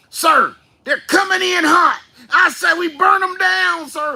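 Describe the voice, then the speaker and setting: A put-on character voice, pitched extremely high, moves along at a fairly slow pace. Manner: aggressive, eager for a fight.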